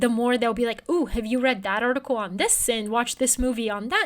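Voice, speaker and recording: On a very clean recording with a silent background, a woman with a high pitch speaks in a Bulgarian accent. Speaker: newsletter writer and journalist. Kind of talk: interview conversation.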